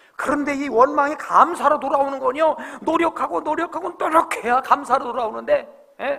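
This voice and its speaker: In a raised, projected voice, a man speaks at an extremely high pitch. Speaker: pastor. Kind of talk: sermon.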